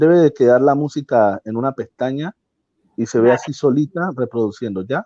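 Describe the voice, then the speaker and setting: A man speaks with a dark, mellow tone and ordinary pitch variation. The recording is dry and close, with no echo. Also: medium pitch for a man, moderate pace. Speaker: tech helper explaining streaming tool. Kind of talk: tutorial over video call.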